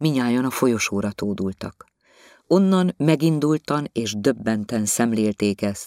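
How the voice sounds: Lively intonation from a natural reading voice, with a quiet background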